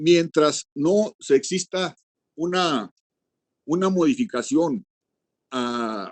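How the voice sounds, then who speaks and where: A man's high-pitched, very slow delivery with very wide pitch swings, long, frequent pauses, and a dry, close sound with no echo. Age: 70s. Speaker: legislator. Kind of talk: committee debate speech. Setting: video call.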